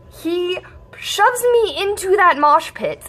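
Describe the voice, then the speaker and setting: A woman speaks with very wide pitch swings. Background noise is noticeable. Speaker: vlogger. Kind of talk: casual storytelling vlog. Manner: fast.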